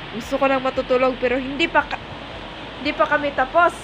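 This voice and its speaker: Delivery is fairly quick and flat in a monotone, over noticeable background noise. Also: woman. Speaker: vlogger. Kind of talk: casual vlog chat. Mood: sleepy but cheerful. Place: home room. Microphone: phone near.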